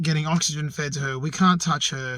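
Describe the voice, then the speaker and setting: With an Australian accent, a man speaks in a fairly high, somewhat breathy voice. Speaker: outdoors vlogger. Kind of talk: personal vlog. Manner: quiet; halting.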